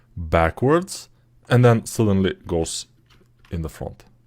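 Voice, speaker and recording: In a very clean recording with a silent background, a man speaks at a fairly slow pace and fairly low pitch with lively intonation. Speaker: 3D artist teaching a course. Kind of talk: tutorial. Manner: casual, halting with fillers.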